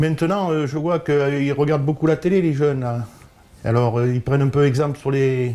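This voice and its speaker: Here a man speaks at a moderate pace in a dark, mellow tone. His pitch is fairly high, with ordinary variation. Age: 70s. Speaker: football referee. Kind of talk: interview. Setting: at home. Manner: halting, hesitant.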